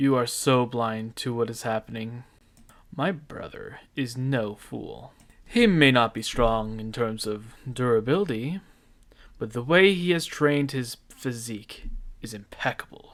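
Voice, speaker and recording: A man speaks in a put-on character voice at medium pitch. His pace is fairly slow. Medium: audio drama. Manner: firm, confident.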